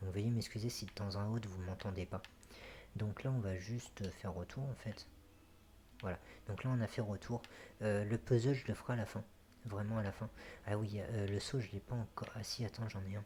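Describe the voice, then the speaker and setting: A soft-spoken man with a fairly low, somewhat breathy voice. He talks at a moderate pace with fairly even intonation and long, frequent pauses. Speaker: gaming youtuber. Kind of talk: let's play commentary. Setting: home recording, late at night. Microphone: echoey apartment, bumped the mic.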